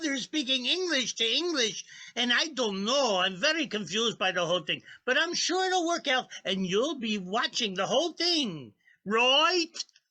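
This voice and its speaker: Using a put-on character voice, a man projects at an extremely high pitch, raised and loud, at a moderate pace. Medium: stage play. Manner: excitable, rambling.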